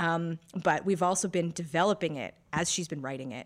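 A woman with a plain, everyday voice and fairly low pitch uses lively intonation in a very clean recording with a silent background. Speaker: podcast co-host and editor. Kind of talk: casual chat.

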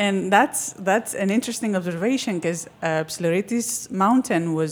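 Against noticeable background noise, a woman with a Greek accent speaks at a fairly slow pace and medium pitch, with ordinary pitch variation and hardly any pauses. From Crete, Greece. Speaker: documentary filmmaker. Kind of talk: casual interview chat.

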